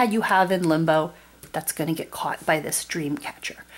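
A woman is speaking. Her pace is moderate. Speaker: board game video creator. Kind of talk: tutorial. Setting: at home, tabletop. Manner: warm, friendly. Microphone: camera far.

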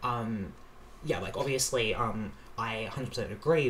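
Speaking with an Australian accent, a man talks at a fairly quick pace with fairly even intonation over light background noise. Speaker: reaction youtuber. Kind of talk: casual reaction commentary. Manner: hesitant, many fillers. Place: home room.

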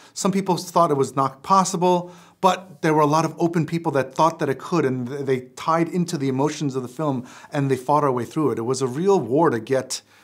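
The pace is fairly quick, with ordinary pitch variation. The background is quiet. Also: man, fairly high pitch for a man. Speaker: film director. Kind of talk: interview answer. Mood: reflective, earnest. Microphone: lapel.

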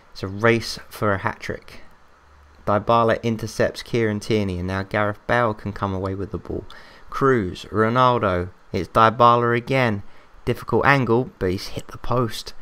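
A man speaks with an English accent. His tone is bright and sharp. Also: medium pitch for a man, moderate pace. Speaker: gaming YouTuber. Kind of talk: gameplay commentary. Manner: animated.

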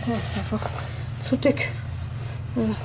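The voice moves at a moderate pace over light background noise. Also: woman. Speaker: vlogger. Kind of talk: casual vlog chat. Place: home room. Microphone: phone near.

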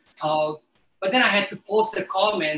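A man talks at a high pitch with a bright, sharp tone and ordinary pitch variation. Audible room echo surrounds his voice. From Italy, Lazio near Rome. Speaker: chef and food educator; guest. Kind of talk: cooking demonstration and conversation. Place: kitchen.

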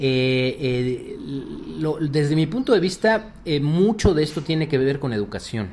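Lively intonation marks this man's fairly high-pitched voice as he talks at a fairly slow pace. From Mexico City. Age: 50s. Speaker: cybersecurity executive. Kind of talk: radio interview. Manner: halting, many fillers.

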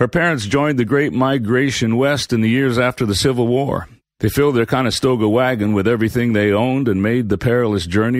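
Here a man uses a normal speaking voice at medium pitch and a fairly quick pace, with ordinary pitch variation, hardly any pauses and very even loudness, on a very clean recording with a silent background. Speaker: audiobook narrator. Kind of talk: scripted storytelling narration, reading a novel excerpt aloud with character voices. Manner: warm, gentle, expressive.

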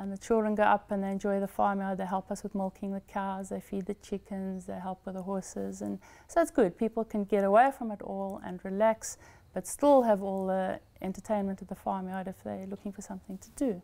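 The voice has a dark, mellow tone and fairly even intonation. It moves at a fairly quick pace, with big swings in loudness. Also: woman. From Eswatini. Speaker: farm owner. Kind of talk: interview. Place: home room. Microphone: lapel.

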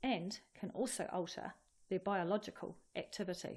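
A somewhat breathy woman's voice. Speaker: presenter. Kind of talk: educational explainer. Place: studio.

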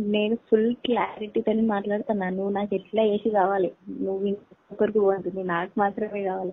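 The background is quiet. A woman talks with monotone, flat intonation. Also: medium pitch for a woman. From Telangana, Karimnagar district; Telangana. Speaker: caller. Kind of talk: phone conversation. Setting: phone call. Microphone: voice breaking up on the line; phone line.

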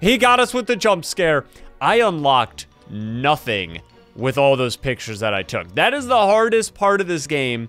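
Faint music plays in the background as a man speaks at a moderate pace. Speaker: gaming streamer. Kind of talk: gameplay commentary. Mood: joking, playful.

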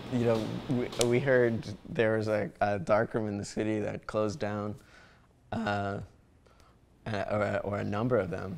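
At a moderate pace with long, frequent pauses, a man talks in a fairly low voice with fairly even intonation over light background noise. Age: 20s. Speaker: darkroom co-founder and photographer. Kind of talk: interview. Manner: halting, many fillers. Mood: relaxed, amused. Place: home room. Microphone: lapel.

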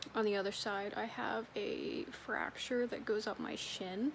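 Over light background noise, a woman sounds weary and strained as she talks at a fairly slow pace. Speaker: vlogger. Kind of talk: casual vlog chat. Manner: weary, strained voice of injured person. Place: home room. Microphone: phone near.

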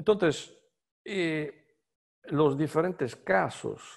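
A man speaks with an Italian accent against a quiet background. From Italy. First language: Italian (speaking Spanish). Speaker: semiotics scholar; speaker. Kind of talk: lecture. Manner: halting, many fillers. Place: home room. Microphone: video call.

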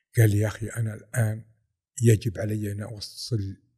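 Somewhat breathy and dark, mellow in tone, a man speaks at a fairly low pitch and fairly slow pace with monotone, flat intonation. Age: 50s. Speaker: football fan, airport quality manager. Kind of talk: casual interview.

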